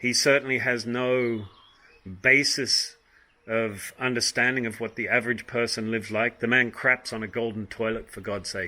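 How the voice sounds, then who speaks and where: The man's bright, sharp tone stays monotone, with flat intonation. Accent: Australian. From Australia. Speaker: vlogger. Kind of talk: opinion monologue. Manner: hesitant, many ums.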